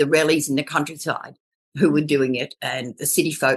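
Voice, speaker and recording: In an Australian accent, a woman speaks at a very deep, low pitch against a quiet background. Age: 70s. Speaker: permaculture elder. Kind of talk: interview.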